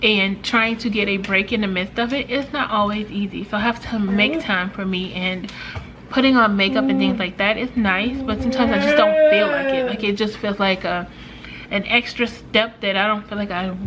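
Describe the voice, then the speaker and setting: Noticeable background noise sits under a woman whose pitch varies in an ordinary way. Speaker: lifestyle vlogger. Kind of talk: casual vlog talk to camera. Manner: hesitant, many fillers.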